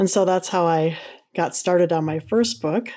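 With an American accent, a woman speaks in a dark, mellow tone. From Minnesota. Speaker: author and retired psychology teacher. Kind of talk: interview.

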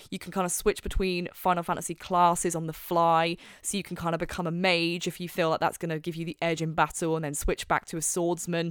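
Speaking at a very fast pace with hardly any pauses, a woman uses a fairly low pitch. The recording is very clean with a silent background. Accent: British. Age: 20s. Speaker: podcast host. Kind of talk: casual chat. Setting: home recording. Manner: animated.

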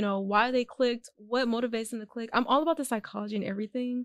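Talking at a very fast pace in an American accent, a woman uses a high pitch with fairly even intonation, and the sound is dry and close with no echo. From Houston, Texas. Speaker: real estate investor and Airbnb host. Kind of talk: casual interview.

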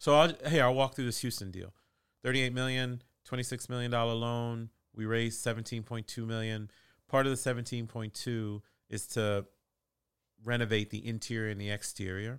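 Speaking with an American accent at a fairly quick pace, a man has a plain, everyday voice of medium pitch and fairly even intonation on a very clean recording with a silent background. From Boston, US Northeast. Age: 40s. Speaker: real estate investor. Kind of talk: interview.

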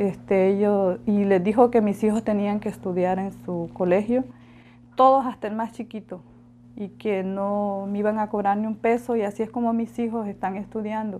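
A woman with a Honduran accent speaks fairly slowly at a medium pitch, her tone dark and mellow. Her intonation is fairly even, and the recording is very clean with a silent background. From Honduras, La Ceiba. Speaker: migrant mother. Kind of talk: interview testimony.

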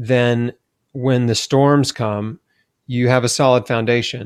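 Heard with a dry, close sound and no echo, a man with an American accent and an unremarkable speaking voice talks at a fairly slow pace, with a medium pitch and fairly even intonation. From Tennessee, US South. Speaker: cancer survivor and health author. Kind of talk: interview.

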